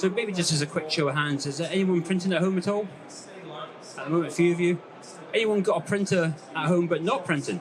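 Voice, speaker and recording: A man talks at a very fast pace and high pitch with fairly even intonation, yet with long, frequent pauses. Audible room echo and noticeable background noise are present. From Scotland, West Highlands. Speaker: landscape photographer. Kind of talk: talk to a live audience. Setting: stage with audience. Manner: hesitant, many fillers.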